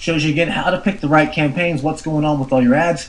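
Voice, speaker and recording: A man talks with a somewhat breathy voice and a fairly high pitch. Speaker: internet marketer reviewing an online course. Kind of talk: product review. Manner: fast; animated.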